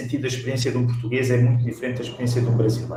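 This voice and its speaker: A man speaks in a dark, mellow, somewhat breathy voice at a medium pitch. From Portugal. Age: 40s. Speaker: pastor and author. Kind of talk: interview conversation.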